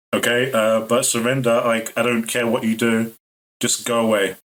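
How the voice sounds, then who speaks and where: A man's shaky, put-on character voice at medium pitch and a moderate pace. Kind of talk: casual, stammering slang. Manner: fast, shaky, nervous, halting.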